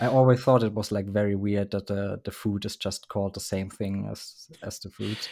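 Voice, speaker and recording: In a German accent, a man speaks with a dark, mellow tone at a fairly low pitch, in monotone, flat intonation at a moderate pace with hardly any pauses, on a very clean recording with a silent background. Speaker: band member who made the show's intro. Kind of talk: casual chat.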